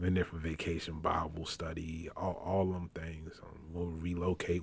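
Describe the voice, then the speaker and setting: A man's very deep, low, somewhat breathy voice with an American accent at a moderate pace, on a very clean recording with a silent background. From Richmond, Virginia, US South. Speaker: pastor. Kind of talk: casual chat.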